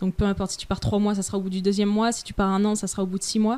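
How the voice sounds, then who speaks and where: A woman speaks with a fairly high pitch and a dark, mellow tone. The recording is very clean, with a silent background. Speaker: freelancer travelling the world. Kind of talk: casual interview.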